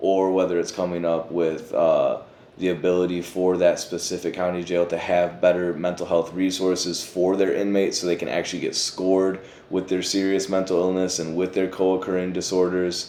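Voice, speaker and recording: This man has a very deep, low pitch and a dark, mellow tone, speaking in a Michigan accent. His delivery is fairly quick and monotone, with flat intonation. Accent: Michigan, Midwestern US. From Pontiac, Michigan. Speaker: formerly incarcerated behavioral health worker. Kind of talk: interview answer. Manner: casual, conversational.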